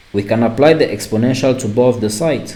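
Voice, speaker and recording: Speaking with a non-native accent, a man talks at a fairly quick pace with a medium pitch and fairly even intonation. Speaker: math teacher. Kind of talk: lecture. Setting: online class recording. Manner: halting.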